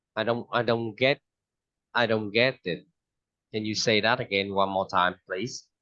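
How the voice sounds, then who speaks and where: A man with a Vietnamese accent talks slowly at a fairly low pitch, leaving long, frequent pauses. His intonation stays fairly even. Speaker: English teacher. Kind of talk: online English lesson.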